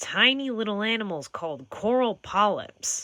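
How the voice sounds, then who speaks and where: A put-on character voice at a fairly high pitch and moderate pace. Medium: read story. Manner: warm, enthusiastic.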